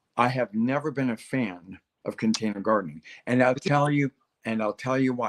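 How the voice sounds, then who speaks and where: A man with a plain, everyday voice, medium pitch and ordinary pitch variation, in a dry, close sound with no echo. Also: moderate pace. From Texas. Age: 60s. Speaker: gardening expert. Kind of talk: casual interview chat on a livestream. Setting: live online stream.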